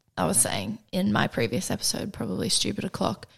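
Woman with vocal fry on a very clean recording with a silent background. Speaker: podcast host. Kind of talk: casual interview chat.

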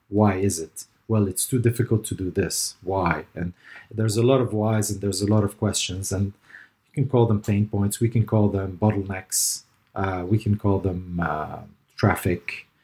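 A man with a fairly low pitch speaks at a moderate pace in a dark, mellow, somewhat breathy tone. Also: fairly even intonation. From Lebanon, raised in Dubai. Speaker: digital transformation consultant. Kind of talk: interview.

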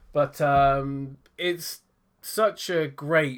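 The speaker has a British accent, and the recording is very clean with a silent background. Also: man. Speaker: tech podcast co-host. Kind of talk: casual chat.

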